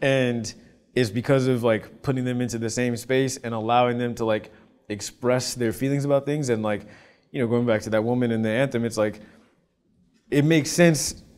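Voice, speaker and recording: A man talks at a fairly quick pace with an American accent. His intonation stays fairly even. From Los Angeles. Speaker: composer; guest. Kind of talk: interview. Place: studio. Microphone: lapel.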